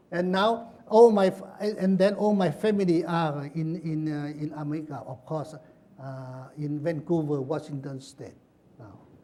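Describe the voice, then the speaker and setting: Speaking at a fairly slow pace, a man with a dark, mellow tone uses ordinary pitch variation while his loudness swings widely. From Laos. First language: Lao. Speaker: author and former prisoner. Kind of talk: book talk with Q&A. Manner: halting, many repetitions.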